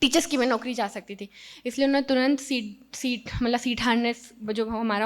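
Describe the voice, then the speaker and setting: A woman's high-pitched voice at a moderate pace. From Madhya Pradesh, Sehore district village. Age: 30s. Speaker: mountaineer. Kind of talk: motivational talk. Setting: stage with audience.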